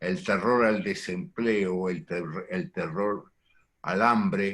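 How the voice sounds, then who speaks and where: A man's very slow, fairly low-pitched speech with ordinary pitch variation. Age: 80s+. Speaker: psychoanalyst. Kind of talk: lecture. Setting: video call.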